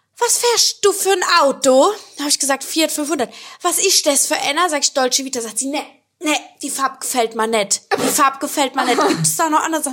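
At a fairly quick pace, a woman with a high pitch speaks in an animated tone with lively intonation. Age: 20s. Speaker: podcast host and influencer. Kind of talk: casual chat.

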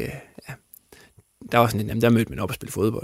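This man's pitch is medium. His intonation stays fairly even. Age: 30s. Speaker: football coach and former player. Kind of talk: interview. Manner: halting, many fillers.

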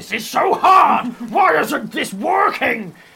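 In a put-on character voice, a man speaks at a fairly slow pace, his extremely high pitch making very wide swings. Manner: frustrated.

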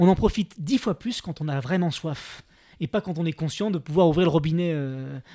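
A man speaks at a moderate pace with a high pitch and lively intonation. The recording is very clean and silent behind him, with a dry, close sound and no echo. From France. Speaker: TV adventurer and documentary presenter. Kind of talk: casual chat.

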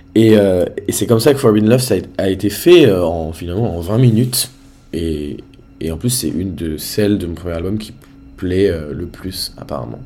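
Over music in the background and audible room echo, a man with a very deep, low pitch speaks with lively intonation and big swings in loudness. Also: moderate pace. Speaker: independent pop singer. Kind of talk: casual interview.

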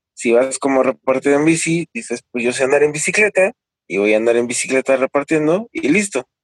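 Fairly high in pitch, a man uses a plain, everyday voice with lively intonation at a fairly quick pace, in a dry, close sound with no echo. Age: 30s. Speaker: delivery rider and labor organizer. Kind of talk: interview.

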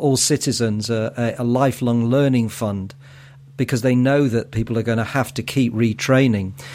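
Delivered at a moderate pace in a Mancunian accent, the speech keeps a fairly even intonation. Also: man. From Manchester, northern England. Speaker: podcast host. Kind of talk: podcast interview.

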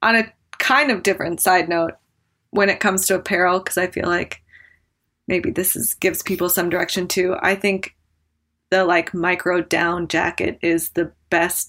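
A woman's fairly low-pitched, bright, sharp voice with an American accent, fairly even intonation and a moderate pace. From Wyoming, US. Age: 30s. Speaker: professional skier. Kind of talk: casual chat. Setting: remote call.

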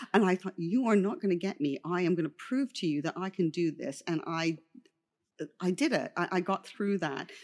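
Fairly low for a woman, her plain, everyday voice moves at a moderate pace with ordinary pitch variation. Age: 60s. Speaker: makeup artist. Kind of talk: interview.

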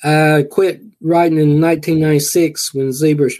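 Speaking in a dark, mellow tone, a man talks with a Southern US accent. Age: 60s. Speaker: horror author. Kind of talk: interview.

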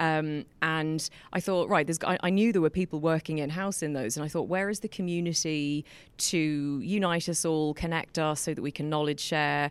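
A woman with an English accent speaks in a very deep, low pitch at a moderate pace, her intonation fairly even. The recording is very clean, with a silent background. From England. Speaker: lawyer and community founder. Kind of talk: live interview with audience Q&A. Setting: lecture hall with live audience.

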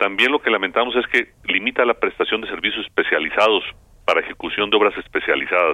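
A man at a very fast pace with very even loudness. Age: 60s. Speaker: agricultural business council president. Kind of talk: radio interview. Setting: phone call.

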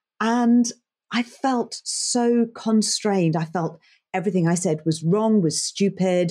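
Speaking at a fairly slow pace in an English accent, a woman has a medium pitch, ordinary pitch variation, very even loudness and a dark, mellow tone. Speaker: leadership coach and broadcast journalist. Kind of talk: interview; guided exercise. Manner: animated.

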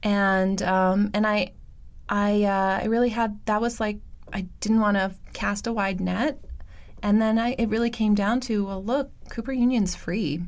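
A normal speaking voice from a woman with an American accent, medium pitch, fairly even intonation, and a fairly slow pace. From New York City, Roosevelt Island. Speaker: biotech company CEO and co-founder. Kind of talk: interview. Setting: studio.

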